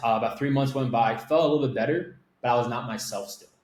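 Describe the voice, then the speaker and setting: A man with an American accent at a very fast pace, ordinary pitch variation, and audible room echo. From Miami, Florida. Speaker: agency owner. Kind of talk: interview storytelling. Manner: casual, filler-heavy.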